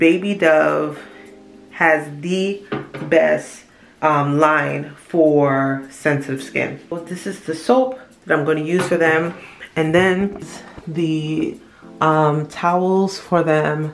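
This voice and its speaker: With faint music in the background, a woman with a very deep, low voice talks at a very slow pace, using ordinary pitch variation and long, frequent pauses. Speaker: mother vlogger. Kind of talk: casual vlog chat. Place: bathroom. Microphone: phone near.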